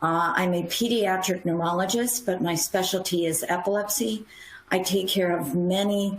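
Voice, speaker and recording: This woman has an ordinary speaking voice and an American accent. Her pitch is fairly low and her intonation fairly even. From US Midwest. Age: 60s. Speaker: pediatric neurologist. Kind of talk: panel discussion.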